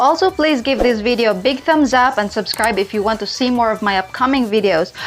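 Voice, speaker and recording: A woman with a non-native accent talks at a fairly quick pace in a fairly high pitch, her intonation lively and her loudness very even, with noticeable background noise behind her. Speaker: online money-making YouTuber. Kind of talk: tutorial.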